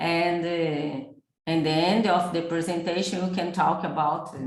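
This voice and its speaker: In a room with audible echo, a woman with a fairly low pitch speaks at a fairly slow pace. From Japan. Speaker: embryologist. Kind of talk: webinar presentation. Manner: halting.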